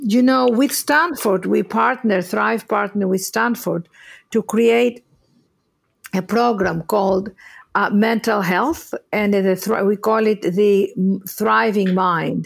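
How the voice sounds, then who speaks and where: Speaking very slowly in a Greek accent, a woman keeps a medium pitch and very even loudness. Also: ordinary pitch variation. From Greece. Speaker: inspirational speaker and author. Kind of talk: casual interview conversation.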